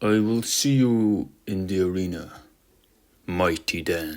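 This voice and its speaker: This is a put-on character voice. It moves fairly slowly. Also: man, very deep, low pitch for a man. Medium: read story. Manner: formal, grand.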